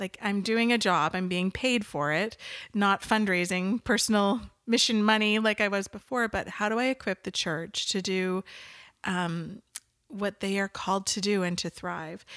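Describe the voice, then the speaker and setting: In a Canadian accent, a woman with an unremarkable speaking voice talks at medium pitch and a moderate pace with fairly even intonation, on a very clean recording with a silent background. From Western Canada (Nanaimo, Vancouver Island). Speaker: marketing agency owner. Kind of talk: interview conversation.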